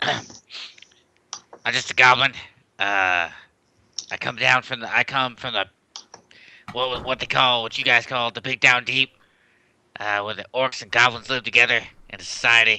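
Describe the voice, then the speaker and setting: In a raspy, put-on character voice, the speaker goes at a moderate pace with long, frequent pauses. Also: man, medium pitch for a man. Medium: actual play. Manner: hesitant, stammering.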